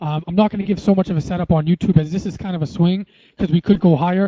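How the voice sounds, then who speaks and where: The speaker is a man. His voice has a high pitch. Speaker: forex trader and trading educator. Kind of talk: technical analysis tutorial. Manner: fast; many fillers like uh and um.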